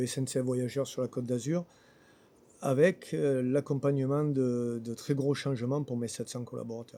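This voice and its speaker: A man's medium-pitched voice holds fairly even intonation while moving at a moderate pace. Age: 60s. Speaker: local election candidate. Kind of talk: interview. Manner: hesitant with fillers.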